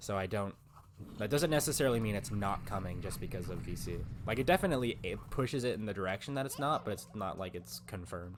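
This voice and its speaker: A man speaks at a very fast pace with a fairly low pitch. Vocal fry runs through his voice. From Canada. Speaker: gaming streamer. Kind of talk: live stream chat. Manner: casual, filler-heavy.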